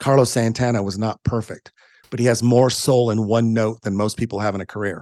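This man speaks at a fairly quick pace with a medium pitch. The sound is dry and close with no echo, over a quiet background. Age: 60s. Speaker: music photographer. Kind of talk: interview. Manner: animated.

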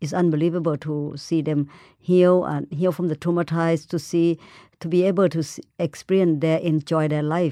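Speech comes in a Thai accent at a moderate pace, with monotone, flat intonation and a dark, mellow tone. The sound is dry and close with no echo, over a quiet background. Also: woman, fairly low pitch for a woman. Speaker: animal conservationist. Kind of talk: interview. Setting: studio in New York.

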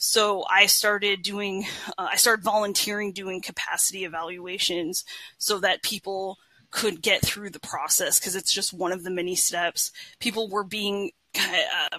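With an American accent, a woman speaks at a medium pitch and moderate pace in a bright, sharp tone with ordinary pitch variation. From northern California. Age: 40s. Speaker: therapist and social worker. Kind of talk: casual interview.

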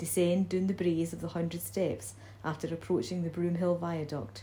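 A woman speaks at a moderate pace in a fairly low pitch with a dark, mellow tone. Her voice is somewhat breathy, with lively intonation. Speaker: library staff reader. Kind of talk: poem reading, ornate nature verse read aloud.

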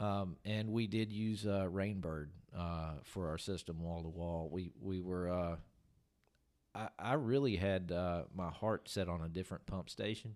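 In a Tennessee accent, a man with a very deep, low voice talks at a fairly slow pace with ordinary pitch variation. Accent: US Southern (Tennessee). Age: 40s. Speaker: golf course superintendent. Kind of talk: casual interview. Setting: on-site at golf course.

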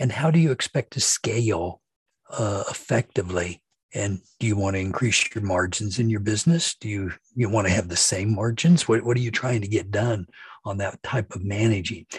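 A man's fairly low, somewhat breathy voice with an American accent, moderate pace and ordinary pitch variation, dry and close with no echo. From Kansas. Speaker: technology consultant and webinar host. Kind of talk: webinar discussion.

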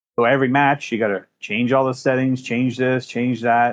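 An unremarkable speaking voice at a fairly quick pace. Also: man. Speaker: gaming community member. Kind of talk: casual chat.

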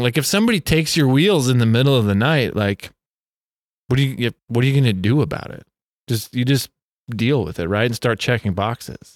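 A man with an ordinary speaking voice talks at a fairly quick pace and a medium pitch. His intonation is lively, and the sound is dry and close with no echo. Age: 40s. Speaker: cycling event founder and bike advocate. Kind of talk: casual chat. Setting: bike shop.

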